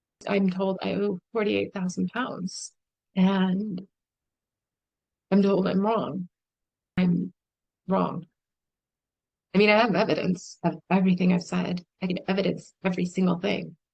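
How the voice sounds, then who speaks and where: Over background music, a woman with an American accent speaks fairly slowly in a monotone, flat intonation, taking long, frequent pauses, the sound dry and close with no echo. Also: medium pitch for a woman. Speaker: vlogger. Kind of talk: personal testimony monologue. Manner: emotional.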